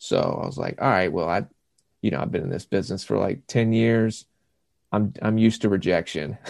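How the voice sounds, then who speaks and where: A man with a Southern US accent speaks at a fairly quick pace in a fairly low voice with ordinary pitch variation. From South Carolina. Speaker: actor. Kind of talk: casual chat.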